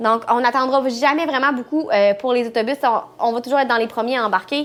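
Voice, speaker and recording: Music plays in the background. The speaker has a Quebec accent. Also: woman. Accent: Québécois French. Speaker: travel vlogger. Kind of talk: casual chat.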